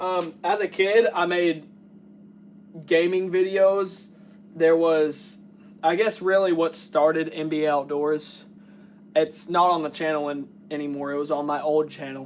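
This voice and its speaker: Pausing long and often, a man talks at a fairly slow pace with a fairly high pitch and fairly even intonation. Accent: Kentucky. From US South, south central Kentucky. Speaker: taxidermist and outdoor YouTuber. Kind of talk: casual live stream chat.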